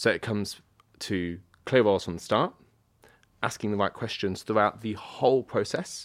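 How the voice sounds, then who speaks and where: A man with a British accent speaks at a moderate pace in a fairly low pitch, on a very clean recording with a silent background. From Britain. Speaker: media agency general manager. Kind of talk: panel discussion. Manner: halting.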